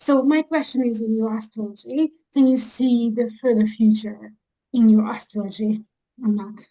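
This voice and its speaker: A woman with a Hungarian accent talks at a moderate pace in a dark, mellow, somewhat breathy voice. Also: fairly high pitch for a woman, fairly even intonation. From Hungary. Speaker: audience member asking a question. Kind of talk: audience question. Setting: video call.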